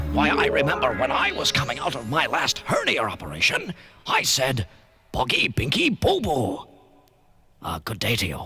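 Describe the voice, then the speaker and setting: Using a put-on character voice, a man sounds pompous at a medium pitch and a moderate pace. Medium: comedy sketch. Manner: pompous, lecturing.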